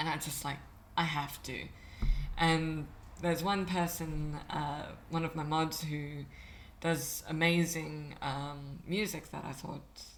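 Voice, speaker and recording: Amid audible room echo, a woman speaks at a very slow pace with a very deep, low pitch, monotone, flat intonation and long, frequent pauses. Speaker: vtuber streamer. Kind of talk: casual interview chat.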